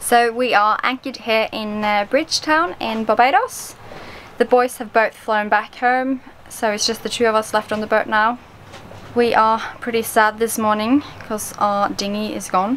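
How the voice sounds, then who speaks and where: Light background noise sits behind a woman who speaks at a moderate pace with fairly even intonation. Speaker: sailing vlogger. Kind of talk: casual vlog chat. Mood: a bit sad, then hopeful. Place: boat. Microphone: phone near.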